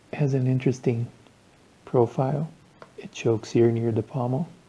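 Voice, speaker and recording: At a moderate pace, the voice comes through somewhat breathy and dark and mellow in tone, with fairly even intonation. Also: man. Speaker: knife enthusiast. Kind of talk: casual talk to camera.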